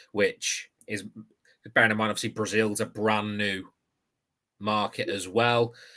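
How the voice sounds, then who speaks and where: A man with a British accent speaks at a fairly low pitch in a bright, sharp tone. His delivery is fairly slow and monotone, broken by long, frequent pauses. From UK. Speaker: podcast host. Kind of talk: interview.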